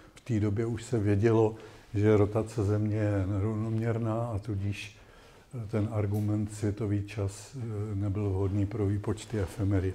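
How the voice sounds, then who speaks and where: The speech crawls along fairly slowly. Its intonation is monotone and flat. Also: man, fairly low pitch for a man. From Czech Republic. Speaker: astronomer; invited lecturer. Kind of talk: lecture. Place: classroom.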